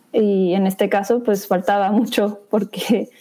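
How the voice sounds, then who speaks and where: A woman talks at a fairly slow pace and medium pitch. Her tone is dark and mellow, with fairly even intonation. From northern Mexico, Chihuahua. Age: 20s. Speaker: video journalist. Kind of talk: interview.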